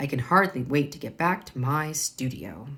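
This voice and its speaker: Putting on a character voice, a woman talks at a moderate pace in a raspy, very deep, low pitch with ordinary pitch variation. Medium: read story.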